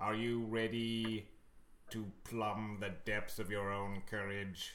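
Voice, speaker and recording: A put-on character voice at a low pitch, with clear background noise. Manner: dramatic, theatrical narration.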